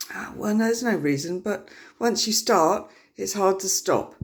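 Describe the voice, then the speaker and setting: A woman talks at a medium pitch. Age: 50s. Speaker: health vlogger. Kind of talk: casual personal talk to camera. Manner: hesitant, many fillers.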